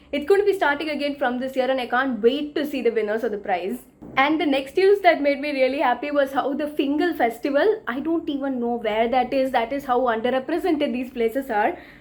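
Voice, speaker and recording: With a South Indian accent, a high-pitched woman speaks at a fairly quick pace in an animated tone with ordinary pitch variation. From India, Tamil Nadu. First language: Tamil. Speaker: book vlogger. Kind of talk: news roundup vlog.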